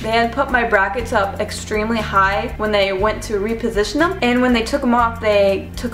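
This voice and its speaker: A woman talks at a moderate pace. Audible room echo and faint music sit in the background. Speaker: vlogger. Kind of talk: casual vlog chat. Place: home room. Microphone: webcam.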